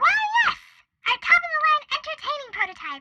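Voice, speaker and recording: A female-sounding, put-on character voice comes across as squeaky. Its pitch is extremely high and its pace moderate. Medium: audio drama. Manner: chatty, peppy, fast.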